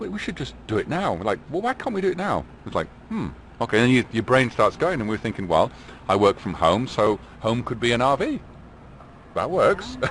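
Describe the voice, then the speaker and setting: With an English accent, a man speaks at a fairly quick pace and leaves long, frequent pauses. His pitch swings very widely. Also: medium pitch for a man. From England. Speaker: RV traveler and small business owner. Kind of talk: casual interview chat.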